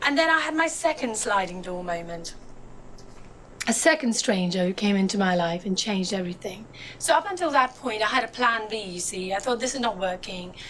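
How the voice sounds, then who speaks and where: In a room with audible echo and noticeable background noise, a woman talks at a fairly quick pace, her voice sweeping through very wide pitch swings. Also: medium pitch for a woman. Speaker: motivational speaker. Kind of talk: inspirational talk. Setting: stage with audience.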